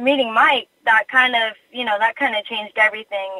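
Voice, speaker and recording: This woman has a plain, everyday voice with a fairly high pitch. Her intonation is fairly even. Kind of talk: interview.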